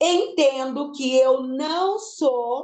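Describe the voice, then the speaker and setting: A woman's high-pitched voice has a dark, mellow tone, with audible room echo around it. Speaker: lecturer on learning disorders. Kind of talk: lecture. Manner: emphatic.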